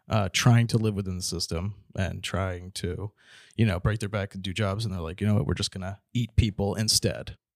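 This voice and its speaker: This man has a normal speaking voice and keeps a moderate pace. The sound is dry and close, with no echo. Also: very clean recording, silent background. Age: 20s. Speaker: comedian. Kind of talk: casual chat.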